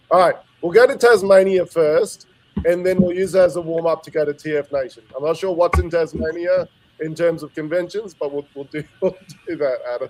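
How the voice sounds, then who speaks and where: A man talks with an Australian accent at a fairly quick pace. His pitch is high, with ordinary variation. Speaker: podcast host. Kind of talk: casual chat.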